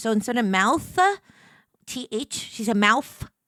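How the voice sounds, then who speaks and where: With a New York accent, a woman speaks in a high, bright, sharp voice with lively intonation, in a dry, close sound with no echo on a very clean recording with a silent background. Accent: New York accent from Brooklyn-born mother. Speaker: streamer. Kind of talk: casual chat. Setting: livestream.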